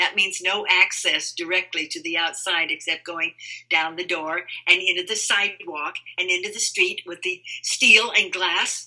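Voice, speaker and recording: Over noticeable background noise, a woman of medium pitch speaks at a moderate pace with fairly even intonation. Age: 80s+. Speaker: writer. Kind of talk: interview.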